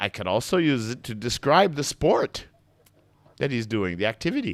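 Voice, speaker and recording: Someone speaks at a fairly slow pace in a Maritime Canadian accent. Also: man. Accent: Eastern Maritime Canadian. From Eastern Maritime Canada. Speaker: English teacher.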